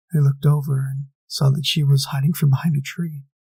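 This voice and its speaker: The man's voice is fairly high, somewhat breathy, and dark and mellow in tone. He speaks at a moderate pace with monotone, flat intonation. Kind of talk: first-person horror story narration.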